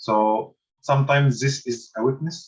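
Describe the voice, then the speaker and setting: The voice, with an Arabic accent, is somewhat breathy. It moves at a very slow pace with ordinary pitch variation. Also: man. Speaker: university lecturer. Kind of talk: lecture. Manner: halting.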